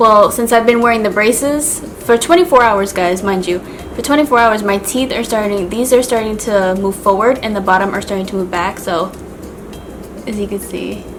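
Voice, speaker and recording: There is noticeable background noise as a woman speaks at a moderate pace. Her pitch is fairly high, with ordinary variation. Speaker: beauty and lifestyle vlogger. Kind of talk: casual vlog talk to camera. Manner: casual, filler-heavy.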